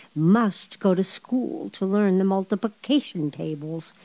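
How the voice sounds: natural reading voice, read from a text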